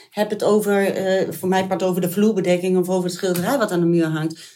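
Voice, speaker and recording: A woman of medium pitch speaks in a dark, mellow tone. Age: 50s. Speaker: mother and foster parent. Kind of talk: interview.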